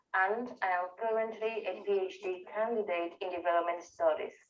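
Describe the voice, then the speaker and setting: With a strong Venezuelan accent, a woman speaks at a fairly slow pace with ordinary pitch variation. Audible room echo is present. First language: Spanish. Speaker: researcher and part-time professor. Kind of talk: conference talk. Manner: halting, many fillers.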